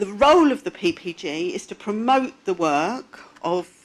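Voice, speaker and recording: A loud woman at a very slow pace, her pitch swinging very widely. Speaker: patient advocate speaker. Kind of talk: conference talk. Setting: stage with audience.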